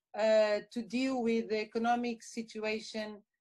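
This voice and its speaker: A woman speaks with a Portuguese accent. Her pitch is fairly high and her pace fairly slow. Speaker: university lecturer, historian. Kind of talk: interview, academic discussion. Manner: halting, many fillers.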